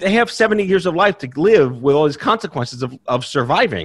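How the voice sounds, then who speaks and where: Recorded very cleanly against a silent background, a man speaks at a fairly quick pace with very wide pitch swings. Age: 40s. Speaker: cancer survivor and patient advocate. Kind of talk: interview. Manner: high energy; fast.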